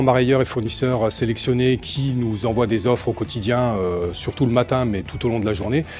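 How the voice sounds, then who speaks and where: Over music in the background, a man speaks at a moderate pace in a medium pitch with ordinary pitch variation. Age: 40s. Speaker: seafood department manager at a food wholesaler. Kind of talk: corporate interview portrait. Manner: hesitant with frequent fillers.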